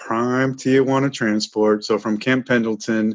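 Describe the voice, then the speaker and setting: Someone with an American accent speaks at a fairly slow pace in a normal speaking voice. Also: man. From Chicago suburbs. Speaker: war veteran. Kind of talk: interview.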